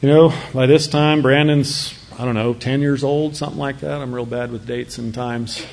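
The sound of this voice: A man's slightly mellow voice at a medium pitch, with vocal fry, fairly even intonation, a moderate pace and audible room echo.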